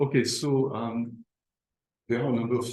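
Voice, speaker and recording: A man speaks in a somewhat breathy voice. Room echo is audible. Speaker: lecturer. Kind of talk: lecture. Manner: halting, many fillers.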